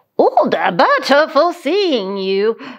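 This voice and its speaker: Doing a put-on character voice, a woman speaks at a high pitch. Her pitch swings very widely. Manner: silly.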